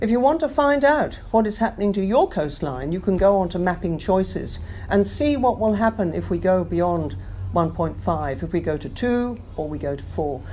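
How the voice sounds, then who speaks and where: A woman with an English accent speaks at a moderate pace. Her pitch swings very widely. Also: medium pitch for a woman. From London. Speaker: climate action campaigner. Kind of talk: interview answer.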